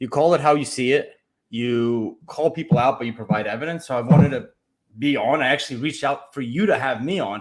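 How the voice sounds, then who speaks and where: A normal speaking voice comes from a man at a fairly quick pace. His pitch is medium, and its variation is ordinary. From Ukraine, immigrated to US as a child. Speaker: podcast host and sports card collector. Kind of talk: casual interview.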